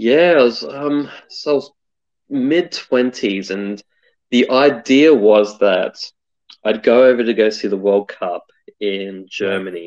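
Speaking in an Australian accent, a man uses a medium pitch. His pace is very slow, his intonation lively. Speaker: UX designer. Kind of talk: interview.

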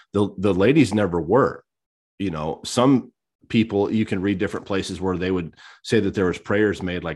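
Against a quiet background, a man with a plain, everyday voice talks at a moderate pace, his pitch fairly low and ordinarily varied. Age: 30s. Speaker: podcast co-host. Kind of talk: casual chat.

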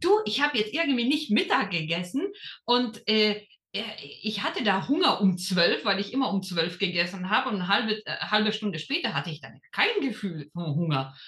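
A woman with a fairly high pitch speaks at a moderate pace, her voice moving in very wide pitch swings. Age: 30s. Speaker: lawyer and former program participant. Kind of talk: interview. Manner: hesitant, many fillers.

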